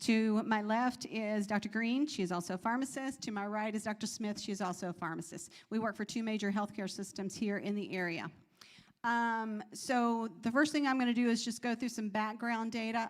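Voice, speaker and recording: Fairly quick in pace, a woman speaks with fairly even intonation. Her pitch is fairly high. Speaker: pharmacist. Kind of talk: health Q&A presentation. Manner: fast.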